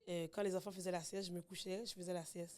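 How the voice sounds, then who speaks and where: A woman's medium-pitched voice at a very fast pace. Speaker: podcast guest, mother. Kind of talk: casual chat. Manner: loud when at ease.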